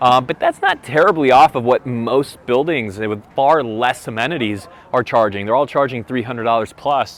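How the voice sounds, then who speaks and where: The tone is energetic, with hardly any pauses. Noticeable background noise is present. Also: man, medium pitch for a man, ordinary pitch variation, moderate pace. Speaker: real estate agent vlogger. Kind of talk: walking tour vlog. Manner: casual, energetic.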